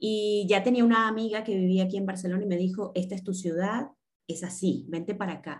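A woman's somewhat breathy voice keeps a fairly even intonation. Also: medium pitch for a woman, fairly quick pace. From Venezuela, Caracas. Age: 40s. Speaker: tarot reader and coach. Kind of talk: casual interview.

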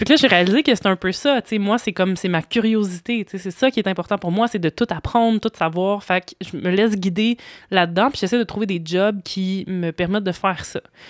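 In a plain, everyday voice, the speaker goes at a fairly quick pace with hardly any pauses and ordinary pitch variation, the sound dry and close with no echo on a very clean recording with a silent background. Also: woman, medium pitch for a woman. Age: 30s. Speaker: stage director and author. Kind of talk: casual chat.

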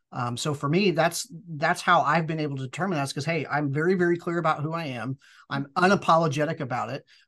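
Over a quiet background, a man with a fairly high pitch and a bright, sharp tone talks very fast with fairly even intonation. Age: 40s. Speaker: business acquirer. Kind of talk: interview.

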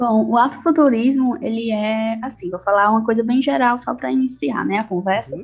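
This woman talks at a fairly quick pace in a normal speaking voice, her fairly high pitch carried by lively intonation. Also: hardly any pauses. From Ceará, Brazil (Quixadá, Sertão Central). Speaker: English teacher and writer on afrofuturism. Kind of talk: casual interview.

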